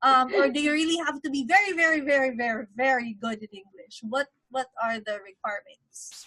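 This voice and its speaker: With an American accent, a woman talks at a fairly quick pace in a raised, projected, high-pitched voice, using lively intonation, big swings in loudness and hardly any pauses. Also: dry, close sound with no echo. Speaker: online interview host. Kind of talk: interview.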